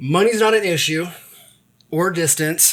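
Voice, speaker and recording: This man has a high pitch and lively intonation, speaking at a moderate pace. The recording is very clean, with a silent background. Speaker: podcast host. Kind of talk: casual interview talk.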